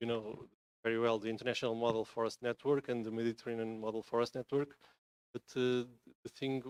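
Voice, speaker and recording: A man talks at a medium pitch with a Portuguese accent. His intonation stays monotone and flat. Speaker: environmental NGO member. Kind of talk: conference presentation. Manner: halting, many fillers.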